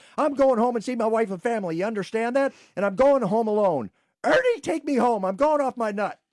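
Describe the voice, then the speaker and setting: A put-on character voice from a man, extremely high in pitch, with ordinary pitch variation. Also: fairly quick pace, very clean recording, silent background. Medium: comedy sketch.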